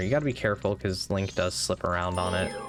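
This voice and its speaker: Very fast speech with music in the background. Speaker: gaming YouTuber. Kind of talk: let's play commentary. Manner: casual with frequent fillers.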